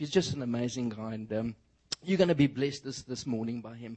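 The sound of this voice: A man talks in a South African accent.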